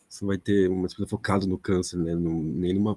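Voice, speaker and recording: A soft-spoken man with fairly low pitch and a dark, mellow tone, at a moderate pace. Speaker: audience member asking a question. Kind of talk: academic Q&A question. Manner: halting. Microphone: speaking without microphone, echo issues.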